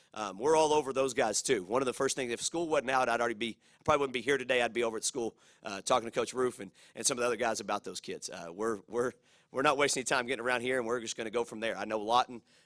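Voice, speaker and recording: An energetic man at a very fast pace, medium in pitch with ordinary pitch variation, in a very clean, silent-background recording with a dry, close sound and no echo. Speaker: college football head coach. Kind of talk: press conference. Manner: fast-talking; energetic, with many fillers and repetitions.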